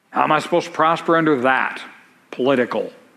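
At a fairly quick pace, a man speaks amid audible room echo. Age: 50s. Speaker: pastor. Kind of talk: sermon.

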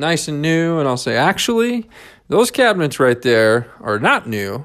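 In a very clean recording with a silent background, a man with an American accent speaks at a moderate pace in a normal speaking voice, pitched fairly high. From rural US, grew up on a farm. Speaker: real estate company CEO and podcast host. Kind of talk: solo podcast talk, informal business explainer. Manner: conversational, informal, sales-oriented.

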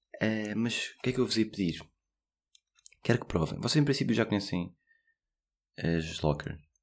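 Speaking in a European Portuguese accent, a man with a fairly low pitch keeps a moderate pace. He leaves long, frequent pauses. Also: lively intonation. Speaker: podcast host. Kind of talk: casual solo podcast monologue.

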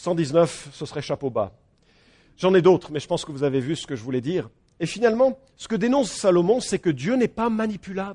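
A man talks at a fairly quick pace in a high pitch, his tone animated and his pitch swinging very widely. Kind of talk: sermon. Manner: animated, rhetorical.

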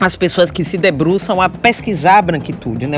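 A woman speaks with a Bahian accent at a moderate pace. There is noticeable background noise. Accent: Bahian accent, marked. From Salvador, Bahia, Brazil. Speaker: historian and university professor. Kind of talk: interview conversation.

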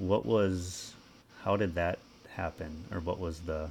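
Speaking with fairly even intonation, a man's very deep, low voice comes out somewhat breathy. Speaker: podcast host. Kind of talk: interview.

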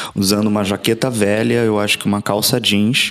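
A man with a fairly low pitch talks while noticeable background noise plays behind him. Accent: Rio de Janeiro. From Brazil, Rio de Janeiro. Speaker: history professor. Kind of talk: interview.

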